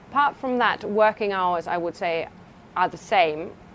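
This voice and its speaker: The speaker has a German accent and ordinary pitch variation. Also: woman. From Germany. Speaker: research scientist. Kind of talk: interview. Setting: laboratory. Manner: halting.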